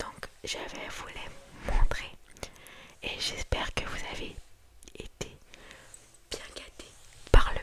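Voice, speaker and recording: Whispering in a calm tone, a woman speaks at a very slow pace with long, frequent pauses and big swings in loudness, against noticeable background noise. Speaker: ASMR creator. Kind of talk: ASMR whispered haul video to camera. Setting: indoors at night, close microphone. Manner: whispered, calm, soft.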